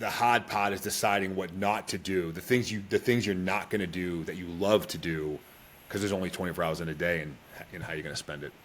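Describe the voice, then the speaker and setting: A man's very deep, low voice with an American accent, very fast delivery and fairly even intonation. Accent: Boston accent, toned down. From Boston, Massachusetts. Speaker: Special Forces soldier and entrepreneur. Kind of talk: podcast interview.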